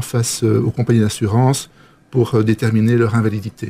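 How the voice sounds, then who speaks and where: A dark, mellow, somewhat breathy tone at a moderate pace. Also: man. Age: 50s. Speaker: physician. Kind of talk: interview. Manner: halting.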